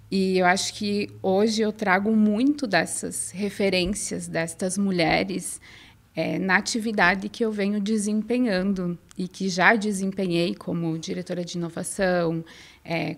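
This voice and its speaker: In a very clean recording with a silent background, a woman with a southern Brazilian accent speaks at a fairly slow pace in a medium pitch with fairly even intonation. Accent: gaúcho accent, noticeable. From southern Brazil, inland Rio Grande do Sul. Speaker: innovation researcher and former professor. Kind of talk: podcast interview.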